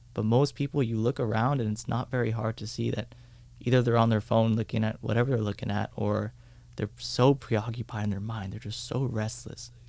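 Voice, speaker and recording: A man with a dark, mellow tone and vocal fry talks at a fairly quick pace with fairly even intonation. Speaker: meditation teacher. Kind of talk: casual chat.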